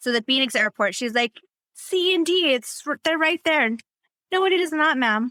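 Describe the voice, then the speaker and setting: A woman uses a raised, projected voice with a high pitch and a bright, sharp tone. Her loudness stays very even throughout. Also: lively intonation, moderate pace, dry, close sound with no echo. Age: young. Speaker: working single mom with young onset Parkinson's. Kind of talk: casual podcast interview.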